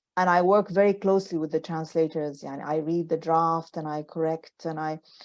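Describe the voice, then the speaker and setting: A woman with a Sudanese accent speaks at a fairly low pitch with fairly even intonation over a quiet background. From Sudan, Khartoum. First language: Arabic. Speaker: novelist. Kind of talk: book club author Q&A. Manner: halting, many repetitions; code-switching Arabic and English.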